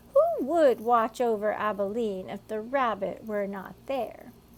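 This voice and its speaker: A put-on character voice moves at a fairly slow pace with ordinary pitch variation. Its loudness swings widely. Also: woman, fairly high pitch for a woman. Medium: read story.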